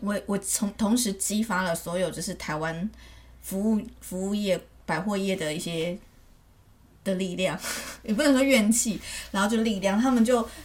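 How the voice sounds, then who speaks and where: A woman with a medium-pitched, somewhat breathy voice speaks at a moderate pace with lively intonation. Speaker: podcast co-host. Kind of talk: casual chat.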